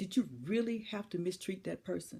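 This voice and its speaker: A woman's dark, mellow, somewhat breathy voice at a moderate pace, with very wide pitch swings. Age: 60s. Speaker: motivational speaker. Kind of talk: inspirational speech. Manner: emphatic, repetitive rhetorical questions.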